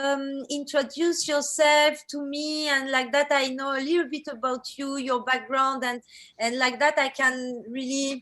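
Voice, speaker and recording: Her pitch high and her tone bright and sharp, a woman with a French accent speaks at a fairly slow pace in a monotone, flat intonation. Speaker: workshop leader, digital artist. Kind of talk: online workshop introduction. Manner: halting, many fillers.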